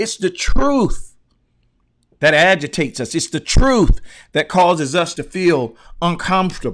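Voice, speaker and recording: A loud, high-pitched man swings very widely in pitch and leaves long, frequent pauses. The recording is very clean, with a silent background. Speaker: motivational speaker. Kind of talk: livestream talk. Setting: live stream. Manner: passionate.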